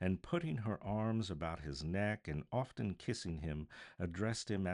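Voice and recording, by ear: The voice is natural. It belongs to someone reading a text aloud.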